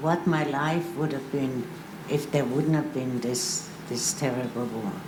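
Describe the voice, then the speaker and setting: Audible room echo and noticeable background noise surround a woman who speaks at a fairly slow pace. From Austria, Vienna. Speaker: Holocaust survivor panelist. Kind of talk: panel testimony. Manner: halting.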